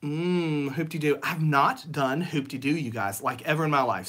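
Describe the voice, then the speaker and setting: Speaking at a moderate pace, a man with a Southern US accent has a fairly high pitch. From Tennessee (Nashville). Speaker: Disney vlogger. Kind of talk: live stream chat. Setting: home office, livestream. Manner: casual, hesitant with many fillers.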